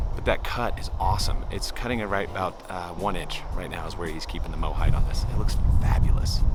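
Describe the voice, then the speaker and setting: A man talks with hardly any pauses. Noticeable background noise and audible room echo are present. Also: fairly quick pace. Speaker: lawn care channel host. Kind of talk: casual tutorial vlog.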